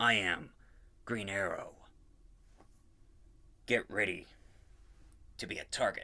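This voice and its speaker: Putting on a character voice, a man sounds gravelly and raspy, with a serious tone at medium pitch. He talks at a fairly slow pace with long, frequent pauses. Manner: dark, serious, heroic.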